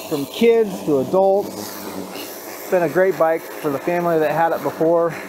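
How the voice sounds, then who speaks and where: With an enthusiastic tone, a man speaks in a high pitch at a moderate pace. His pitch varies in an ordinary way, and there is noticeable background noise. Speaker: dirt bike hobbyist vlogger. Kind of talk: casual self-narrated vlog. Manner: casual, enthusiastic.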